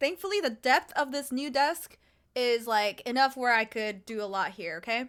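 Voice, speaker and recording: An animated voice with a bright, sharp tone, moving at a fairly quick pace. The recording is very clean, with a silent background. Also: woman. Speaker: streamer. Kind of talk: casual chat. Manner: loud.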